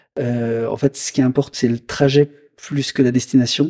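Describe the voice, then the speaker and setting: Dark, mellow tone with fairly even intonation and a dry, close sound with no echo. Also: man. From Lyon region, France. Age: 50s. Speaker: motorcycle dealership manager. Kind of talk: casual interview. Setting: motorcycle dealership. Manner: hesitant, many fillers.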